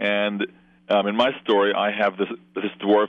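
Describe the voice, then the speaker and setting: A man's fairly low voice in an American accent. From US, raised from infancy after birth in London. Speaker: novelist. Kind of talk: interview.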